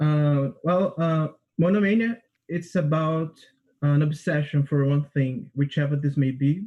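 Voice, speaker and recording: A man in a Portuguese accent talks at a fairly slow pace with a dark, mellow tone. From Brazil, Rio de Janeiro. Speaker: composer and music student. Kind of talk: describing own piece, prepared; interview answers. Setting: livestream.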